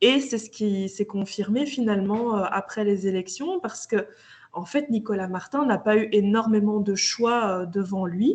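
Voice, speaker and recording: Somewhat breathy, this voice goes at a fairly slow pace, its pitch varying in an ordinary way. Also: woman, fairly high pitch for a woman. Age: 30s. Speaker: local politician. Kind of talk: interview.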